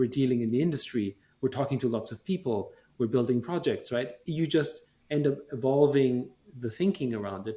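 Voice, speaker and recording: This man has a German accent and a somewhat breathy, dark, mellow tone. His medium pitch moves in ordinary ways at a moderate pace. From Austria, Vienna. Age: 40s. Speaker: tech company chairman. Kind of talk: interview.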